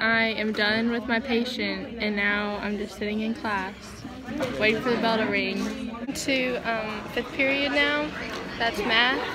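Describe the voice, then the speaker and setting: A woman talks at a fairly slow pace over loud background noise. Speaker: high school student vlogger. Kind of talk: casual vlog chat. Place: classroom. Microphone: phone near.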